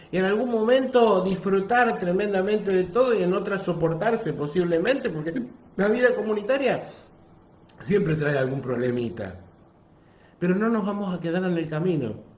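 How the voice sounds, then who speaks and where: A man with a high pitch talks at a moderate pace with very wide pitch swings and long, frequent pauses, his voice carrying audible room echo. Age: 60s. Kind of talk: sermon. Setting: parish office, livestream.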